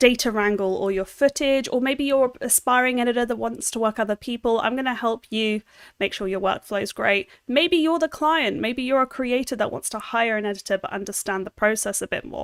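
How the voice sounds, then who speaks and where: With an American accent, a woman talks at a fairly quick pace with hardly any pauses, her fairly high pitch showing ordinary variation, recorded very cleanly against a silent background with a dry, close sound and no echo. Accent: British with slight American twang. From London, England. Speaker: video editor. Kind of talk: livestream tutorial. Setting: livestream. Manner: casual, chatty.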